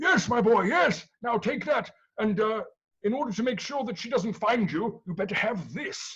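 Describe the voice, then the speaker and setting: This is a put-on character voice at a fairly high pitch. It moves at a moderate pace. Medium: stage play. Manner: hurried, repeats himself.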